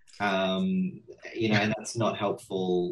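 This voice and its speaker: The speaker is male. He talks with an Australian accent. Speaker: horror writer. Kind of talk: panel discussion on video call.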